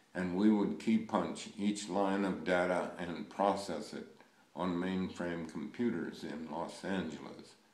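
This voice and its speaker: Amid audible room echo, a man with a very deep, low pitch speaks at a fairly slow pace with fairly even intonation. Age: 90s. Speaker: project management pioneer, speaker. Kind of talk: recorded presentation with slides. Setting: remote recorded talk for audience. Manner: formal.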